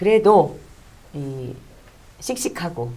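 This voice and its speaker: With audible room echo around her, a woman speaks in a very deep, low voice with a dark, mellow tone. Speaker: talk show host. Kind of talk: monologue introduction. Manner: hesitant with fillers.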